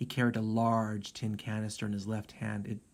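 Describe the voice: Simply plain reading aloud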